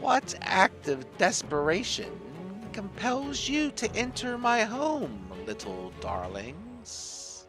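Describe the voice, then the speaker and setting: Over clear music in the background, a man does a put-on character voice, high-pitched and very slow. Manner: menacing, sinister, calling people little darlings.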